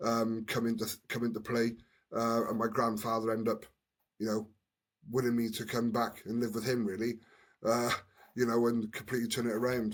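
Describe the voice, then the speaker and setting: A man with a Welsh accent, medium pitch, monotone, flat intonation, a fairly quick pace and long, frequent pauses. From Wales, Newport. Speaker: former rugby player, community worker. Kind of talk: podcast interview, personal story. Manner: halting, many repeated words.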